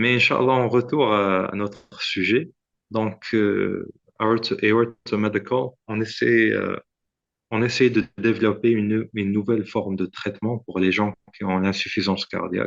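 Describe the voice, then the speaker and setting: A man at a fairly slow pace with a fairly low pitch. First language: Arabic and English (speaking French). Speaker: startup founder, medical inventor. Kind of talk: podcast interview. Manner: halting, many hesitations and repetitions.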